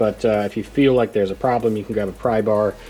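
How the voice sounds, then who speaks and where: Noticeable noise in the background behind a man's fairly brisk delivery. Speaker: DIY truck modification youtuber. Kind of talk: tutorial. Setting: outdoors. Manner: animated.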